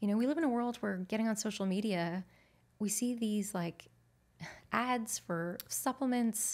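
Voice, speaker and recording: A plain, everyday voice comes from a woman with a fairly high pitch and ordinary pitch variation, recorded very cleanly with a silent background. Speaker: nutritionist. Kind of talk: interview conversation. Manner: warm.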